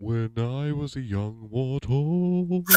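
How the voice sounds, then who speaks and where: In a put-on character voice, a man talks at a medium pitch. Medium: actual play.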